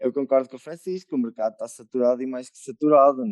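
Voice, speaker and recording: A man's normal speaking voice at medium pitch, fairly even in intonation, with a dry, close sound and no echo. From Murça, northern Portugal. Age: 20s. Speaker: musician and composer. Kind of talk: casual chat.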